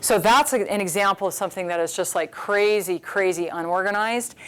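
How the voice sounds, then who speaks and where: A woman of medium pitch talks at a fairly quick pace. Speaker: math instructor. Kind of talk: workshop lecture. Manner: fast.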